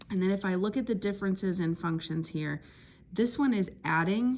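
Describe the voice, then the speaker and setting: This woman has an unremarkable speaking voice at medium pitch. She talks at a moderate pace with ordinary pitch variation. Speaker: math teacher. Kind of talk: tutorial.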